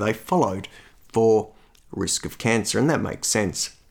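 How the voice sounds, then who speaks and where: On a very clean recording with a silent background, a speaker with an Australian accent talks with ordinary pitch variation. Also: man. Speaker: cardiologist and podcast host. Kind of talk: solo educational monologue. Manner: measured, conversational with filler words.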